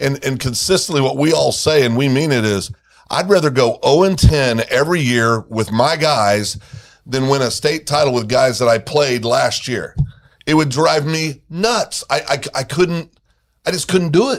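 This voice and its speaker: With an unremarkable speaking voice, this man has a fairly high pitch and lively intonation, moving at a moderate pace. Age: 60s. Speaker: high school football commentator. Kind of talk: casual chat.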